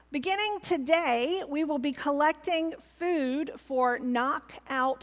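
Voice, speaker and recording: With normal pitch movement, a woman talks at a rather unhurried tempo. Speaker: pastor. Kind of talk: church announcements. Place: church.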